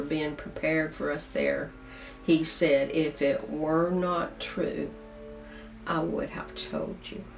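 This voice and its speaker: Very slow speech from a woman amid audible room echo. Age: 70s. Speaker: video blogger. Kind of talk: casual monologue to camera.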